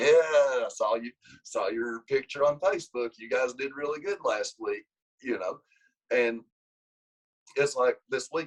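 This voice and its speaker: With an Appalachian accent, a man talks at a fairly slow pace with long, frequent pauses in a dry, close sound with no echo. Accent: country Appalachian. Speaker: wrestling coach. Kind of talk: casual interview. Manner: animated.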